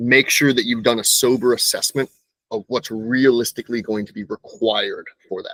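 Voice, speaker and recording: Recorded with a dry, close sound and no echo, a man talks at a moderate pace with big swings in loudness. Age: 30s. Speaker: moving company owner. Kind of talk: interview. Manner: conversational, some self-repetition.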